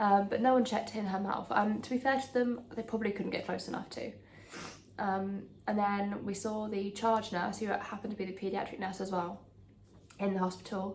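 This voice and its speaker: Quiet and in an English accent, a woman talks at a fairly quick pace with medium pitch and monotone, flat intonation, with audible room echo. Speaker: lifestyle vlogger. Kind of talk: casual chat. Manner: hesitant with many ums.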